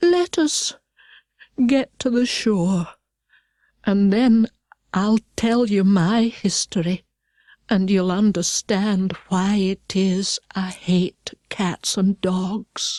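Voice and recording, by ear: A woman's put-on character voice at medium pitch, delivered at a very slow pace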